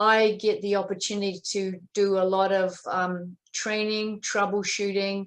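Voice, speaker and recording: A woman with a New Zealand accent speaks at a medium pitch. Her intonation is monotone and flat, at a fairly slow pace. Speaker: dairy specialist. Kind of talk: webinar presentation. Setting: online webinar. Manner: hesitant, many fillers.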